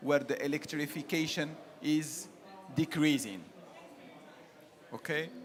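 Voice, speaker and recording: Speaking fairly slowly, a man has a non-native accent. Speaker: solar energy agency board member. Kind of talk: panel discussion. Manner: halting.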